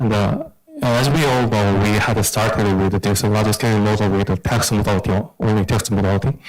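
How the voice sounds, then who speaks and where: Over music in the background, a man with a fairly low pitch talks at a fairly quick pace, keeping very even loudness and fairly even intonation. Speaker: AI practitioner on a panel. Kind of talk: panel discussion. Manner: halting.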